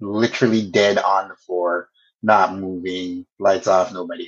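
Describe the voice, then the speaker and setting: A man with a Canadian accent and a plain, everyday voice, fairly low in pitch, at a moderate pace. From Canada, Toronto area. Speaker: communications professional and podcast co-host. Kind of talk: casual interview chat.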